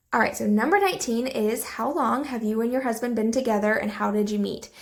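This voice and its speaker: Speaking at a very fast pace, a woman has a fairly high pitch and ordinary pitch variation. Audible room echo and noticeable background noise fill the recording. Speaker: cleaning vlogger. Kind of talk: casual voiceover Q&A.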